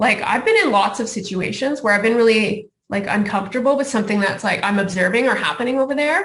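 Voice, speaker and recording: A woman's fairly high voice with ordinary pitch variation, amid audible room echo. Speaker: speaker on health care racism. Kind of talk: conference talk. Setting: video call. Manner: fast.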